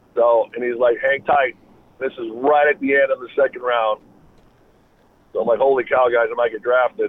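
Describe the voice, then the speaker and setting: Long, frequent pauses from a man at a moderate pace. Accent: Upper Midwest. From Wisconsin. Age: 40s. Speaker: former NFL player and sports agent. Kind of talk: interview.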